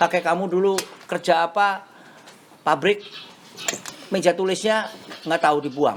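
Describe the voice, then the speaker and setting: A high-pitched man at a moderate pace, ordinary pitch variation and very even loudness, with long, frequent pauses amid noticeable background noise. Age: 60s. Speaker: classic car collector and restorer. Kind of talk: casual interview chat. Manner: code-switching with English phrases.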